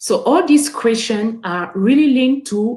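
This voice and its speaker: With a French accent, a woman speaks in a dark, mellow tone that is somewhat breathy. Her intonation is lively. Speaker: webinar guest speaker. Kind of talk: motivational talk to youth. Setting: online webinar. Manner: halting, many repeated words and fillers.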